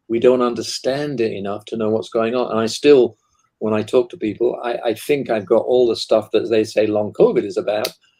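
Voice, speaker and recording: Talking at a fairly quick pace, a man speaks with a British accent. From Britain. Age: 70s. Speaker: author and guest expert. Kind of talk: casual panel discussion.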